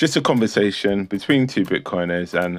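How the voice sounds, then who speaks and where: Music plays in the background as a man talks at a moderate pace. His tone is relaxed, with ordinary pitch variation. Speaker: podcast host. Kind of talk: casual chat.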